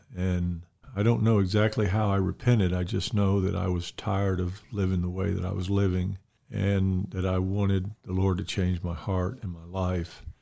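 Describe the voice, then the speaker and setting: A man with an Alabama accent speaks at a moderate pace in a very deep, low pitch with a dark, mellow tone and monotone, flat intonation. The recording is very clean with a silent background. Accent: Southern US (Alabama). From US South, Mobile, Alabama. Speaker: retiring pastor. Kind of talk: casual interview about faith and ministry.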